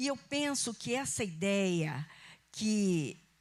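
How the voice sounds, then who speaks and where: A somewhat breathy woman with a medium pitch speaks with very wide pitch swings. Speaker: pastor. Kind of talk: sermon. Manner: conversational.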